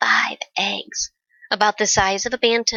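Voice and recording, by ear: Someone is reading aloud in a natural voice, with fairly even intonation, over a quiet background.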